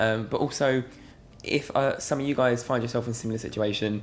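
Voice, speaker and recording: A man with a British accent speaks at a very fast pace, with medium pitch and ordinary pitch variation. Music plays in the background. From England. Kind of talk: casual talk to camera. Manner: earnest, reflective.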